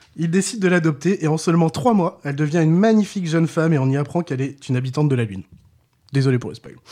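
Talking at a very fast pace, a man has a dark, mellow tone, fairly high pitch and ordinary pitch variation. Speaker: podcast co-host. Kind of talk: scripted narration. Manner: crooner voice for intro.

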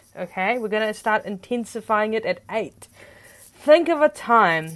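A woman with a fairly high pitch speaks at a fairly slow pace in a normal speaking voice. The recording is very clean, with a silent background. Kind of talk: guided meditation. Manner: soft, slow, calm coaching with deliberate pauses and gentle commands; warm, encouraging and upbeat, chatty in the intro.

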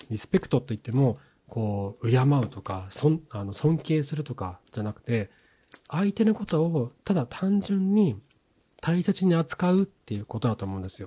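Somewhat breathy, a man's medium-pitched voice makes very wide pitch swings and big swings in loudness, with a dry, close sound and no echo. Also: moderate pace. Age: 40s. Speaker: podcast host on marriage and couple relationships. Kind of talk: solo podcast talk. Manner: casual, with frequent filler words.

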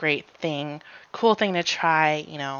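The speaker uses a normal speaking voice at a fairly slow pace with fairly even intonation. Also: woman. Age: 20s. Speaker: podcast co-host. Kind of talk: casual chat. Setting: remote recording, not in person.

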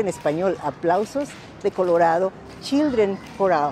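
Music plays behind a woman speaking at a moderate pace with a medium pitch. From Mexico City. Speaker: museum staff. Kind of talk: interview.

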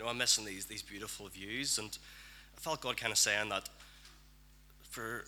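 In a Northern Irish accent, a man with a fairly low pitch talks in a bright, sharp tone. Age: young. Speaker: church member. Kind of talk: prophetic word.

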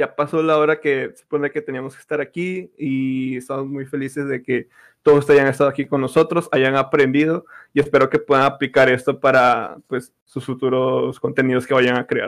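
In a very clean recording with a silent background, the speech is monotone and flat, with big swings in loudness. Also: man, fairly high pitch for a man, moderate pace. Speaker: podcast host, esports content creator. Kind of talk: casual chat.

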